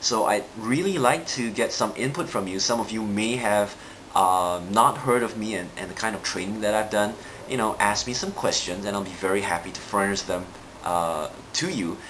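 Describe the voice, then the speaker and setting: A man with a fairly low pitch speaks at a moderate pace amid noticeable background noise and audible room echo. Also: ordinary pitch variation. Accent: Singaporean. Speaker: NLP trainer and coach. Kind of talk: live video monologue. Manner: hesitant with frequent fillers.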